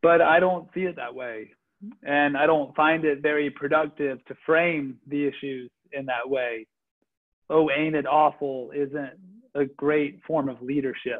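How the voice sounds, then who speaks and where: A man with a normal speaking voice talks at a fairly slow pace in a fairly high pitch with fairly even intonation, against a quiet background. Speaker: faith leader. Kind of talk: reflective talk. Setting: video call. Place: home room. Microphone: video call.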